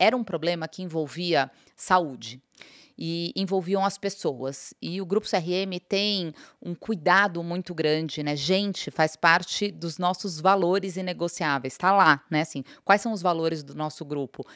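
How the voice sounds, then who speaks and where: Over a quiet background, a woman with fairly low pitch and ordinary pitch variation speaks at a fairly slow pace, her loudness swinging widely in a dry sound with no echo. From Brazil. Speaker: company CEO; guest. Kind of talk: interview. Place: studio. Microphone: studio mic.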